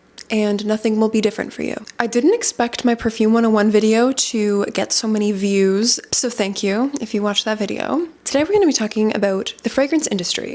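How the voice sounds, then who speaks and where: A woman with a Canadian accent speaks at a fairly quick pace and a fairly high pitch, with ordinary pitch variation and noticeable background noise. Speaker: fragrance content creator. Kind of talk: informational vlog talk. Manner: casual, conversational.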